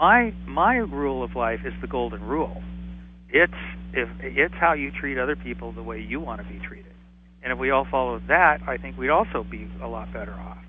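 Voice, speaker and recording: A man with an American accent at a moderate pace, with big swings in loudness. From Southern California (Whittier). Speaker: author and AIDS survivor. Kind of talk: interview. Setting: phone call.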